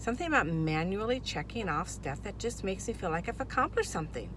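Speaking at a very fast pace, a woman comes through in a dry sound with no echo over noticeable background noise. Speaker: vlogger. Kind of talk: casual vlog chat. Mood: upbeat, excited. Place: car. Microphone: phone near.

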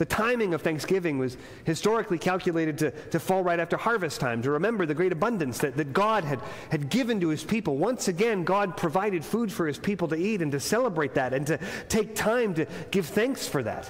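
His intonation moves in a lively way. The man speaks very quickly. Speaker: pastor. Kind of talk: sermon. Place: church. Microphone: lapel.

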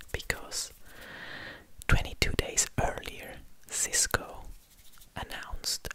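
A man whispers very slowly, with long pauses that come often. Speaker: ASMR content creator. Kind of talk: whispered ASMR facts narration. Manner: whispering, soft. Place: studio. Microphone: studio mic.

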